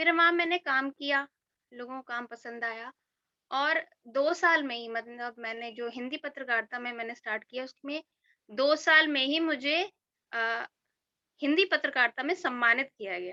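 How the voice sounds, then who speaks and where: A woman's raised, projected high voice, bright and sharp in tone, with ordinary pitch variation, big swings in loudness, and a dry, close sound with no echo. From Braj region, India (Agra/Mathura). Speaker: journalist and author. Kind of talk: personal testimony at online event. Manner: hesitant, many fillers.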